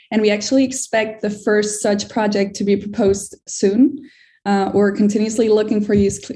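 A woman's somewhat breathy voice with a dark, mellow tone, medium pitch, fairly even intonation and a moderate pace. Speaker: strategic initiatives manager presenting. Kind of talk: community call presentation.

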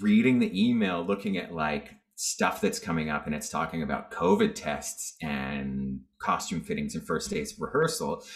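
A man with a Canadian accent at a moderate pace, with music in the background. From Northern British Columbia, Canada. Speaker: singer, dancer and actor. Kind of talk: casual chat.

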